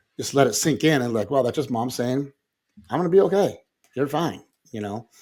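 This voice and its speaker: A man talks at a fairly quick pace with lively intonation. His pitch sits in the medium range. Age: 60s. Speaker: podcast co-host. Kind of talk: casual chat.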